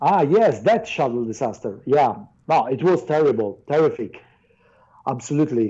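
A man's fairly high voice with a dark, mellow tone, very wide pitch swings, a moderate pace and an Italian accent. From southern Italy. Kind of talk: casual chat. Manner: shy; halting.

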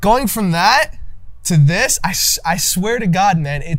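A man talks with lively intonation while music plays behind him. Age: 20s. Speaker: podcast host and young entrepreneur. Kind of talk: casual interview.

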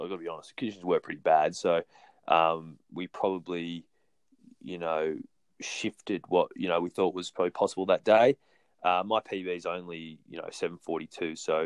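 A man with a very deep, low voice talks fairly quickly in an Australian accent, with fairly even intonation and big swings in loudness. The sound is dry and close with no echo, against a quiet background. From New South Wales, Australia. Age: 30s. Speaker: professional runner. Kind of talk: casual interview.

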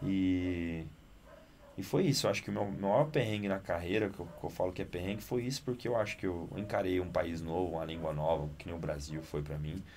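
With a very deep, low pitch and lively intonation, a man talks at a fairly quick pace. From Italy, Naples. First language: Italian (speaking Portuguese). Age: 20s. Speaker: actor and director. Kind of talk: casual interview. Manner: animated.

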